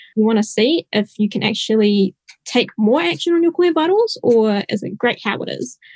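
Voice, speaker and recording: This woman talks at a moderate pace in a fairly high, somewhat breathy voice with very wide pitch swings. The sound is dry and close, with no echo. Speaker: software engineer. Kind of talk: technical panel discussion.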